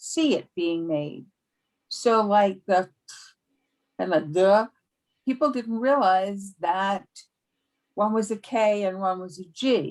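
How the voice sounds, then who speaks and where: A woman's medium-pitched voice with a New York accent and lively intonation. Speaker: speech therapist. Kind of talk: casual discussion.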